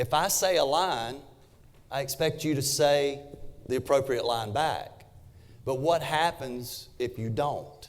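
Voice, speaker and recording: A man with a Southern US accent speaks at a fairly slow pace, his pitch fairly high. His pitch variation is ordinary, and he leaves long, frequent pauses. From US South, South Carolina. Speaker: real estate agent and trainer. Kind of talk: workshop presentation.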